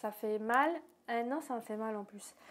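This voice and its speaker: A woman's fairly high voice comes through on a very clean recording against a silent background. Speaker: YouTuber. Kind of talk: casual vlog. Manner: fast.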